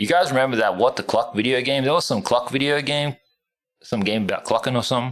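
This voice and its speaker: Speaking at a very fast pace, a man with an Australian accent has a medium pitch and ordinary pitch variation. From Australia, Northern Territory (tropical north). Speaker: gaming streamer. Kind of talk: casual livestream chat. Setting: home room livestream. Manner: casual, rambling.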